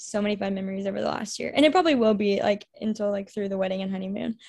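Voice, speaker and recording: On a very clean recording with a silent background, a woman with an American accent speaks at medium pitch in a monotone, flat intonation. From Texas, Houston area. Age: 20s. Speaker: college ministry coordinator. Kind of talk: casual interview.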